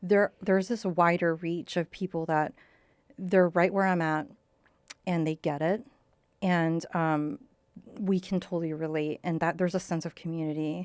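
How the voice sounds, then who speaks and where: With an American accent, a woman speaks in fairly even intonation with long, frequent pauses, the sound dry and close with no echo. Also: fairly low pitch for a woman, moderate pace. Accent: American accent when speaking Lao. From Colorado, US. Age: 30s. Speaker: author. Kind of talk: podcast interview.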